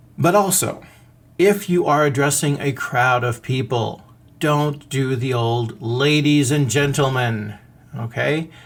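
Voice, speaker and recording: A man talks at a very slow pace in a somewhat breathy voice. His pitch is fairly high, with ordinary variation. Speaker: podcast host. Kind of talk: podcast monologue. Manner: animated.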